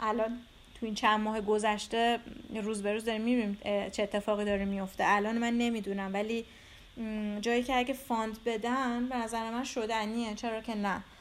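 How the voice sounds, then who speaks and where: A woman with a fairly high voice speaks at a moderate pace in a monotone, flat intonation. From Iran, Tehran. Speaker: visual artist. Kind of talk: interview.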